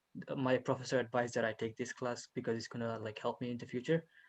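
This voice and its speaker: In a flat, monotone way, a man speaks at a medium pitch and a very fast pace. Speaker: student. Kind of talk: class introduction. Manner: halting.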